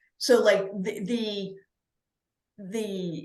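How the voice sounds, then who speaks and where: A woman speaks at a very slow pace. Room echo is audible around her voice. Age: 60s. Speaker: author, podcast guest. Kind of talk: casual interview chat. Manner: halting with false starts.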